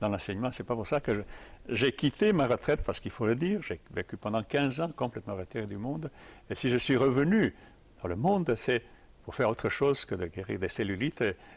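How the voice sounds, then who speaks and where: A man talks at a fairly quick pace with very wide pitch swings over a quiet background. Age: old. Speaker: tai chi teacher. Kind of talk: interview. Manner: halting.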